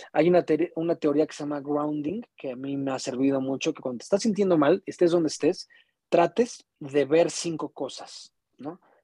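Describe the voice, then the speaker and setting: With a Mexican accent, a man talks at a moderate pace in a fairly high pitch with a dark, mellow tone, ordinary pitch variation, and big swings in loudness, recorded with a dry, close sound and no echo. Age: 30s. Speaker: musician and podcaster. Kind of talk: casual chat.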